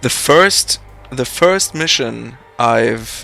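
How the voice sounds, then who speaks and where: A man talks with a German accent. Music plays in the background. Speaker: game publisher staff and streamer. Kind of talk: casual chat. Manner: halting.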